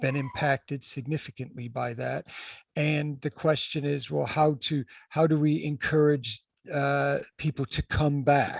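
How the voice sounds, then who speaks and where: This man speaks with an American accent at a fairly slow pace. The sound is dry and close, with no echo. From United States. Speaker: healthcare executive. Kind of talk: panel discussion. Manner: halting, many repetitions.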